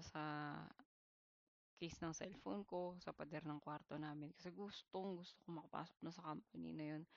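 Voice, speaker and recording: A woman's fairly low-pitched voice at a moderate pace. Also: quiet background. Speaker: vlogger sharing job-hunt experiences. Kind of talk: personal storytelling monologue. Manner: casual, conversational Taglish with some hesitations.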